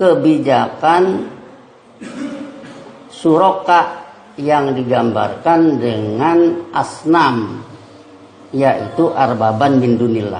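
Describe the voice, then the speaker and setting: With audible room echo and noticeable background noise, a man in a fairly high pitch talks at a very slow pace. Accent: West Javanese. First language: Sundanese (speaking Indonesian). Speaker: preacher. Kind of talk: sermon. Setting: mosque.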